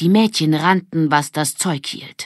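A woman speaks in a low voice on a very clean recording with a silent background.

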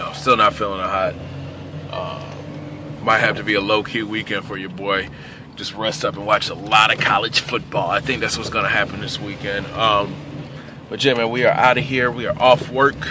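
A man's voice with big swings in loudness over noticeable background noise. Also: ordinary pitch variation, moderate pace, dry sound with no echo. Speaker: vlogger. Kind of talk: casual vlog chat. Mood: relaxed, a bit under the weather. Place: car. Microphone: phone near.

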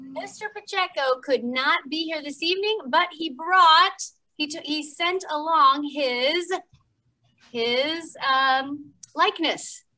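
Against a quiet background, a woman projects a raised voice with a bright, sharp tone, ordinary pitch variation and a very slow pace. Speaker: story time host. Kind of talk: children's story time hosting. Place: gym.

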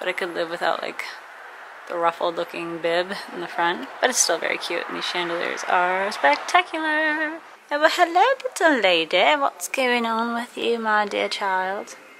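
Noticeable background noise behind a woman's moderate pace. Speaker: vlogger. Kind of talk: casual vlog chat. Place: shop.

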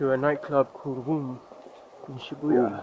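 A man's voice in a dry sound with no echo, against noticeable background noise. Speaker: travel vlogger. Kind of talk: casual vlog chat. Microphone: phone near.

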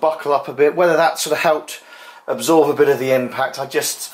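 A man with a fairly high pitch and ordinary pitch variation talks at a fairly quick pace.

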